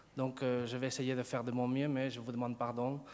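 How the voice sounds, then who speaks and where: A man with a Spanish accent at a medium pitch and moderate pace, with audible room echo. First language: Spanish (speaking French). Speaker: sociology professor. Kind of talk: conference talk. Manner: halting, many hesitations and repetitions.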